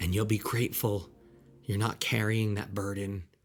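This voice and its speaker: Somewhat breathy male voice, fairly low in pitch, at a moderate pace. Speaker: podcast host. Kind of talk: solo podcast monologue.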